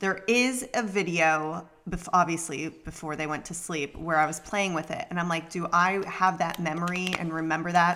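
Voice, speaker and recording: A woman's fairly low voice at a moderate pace, with hardly any pauses, fairly even intonation and noticeable background noise. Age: 30s. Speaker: podcast co-host. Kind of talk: casual chat.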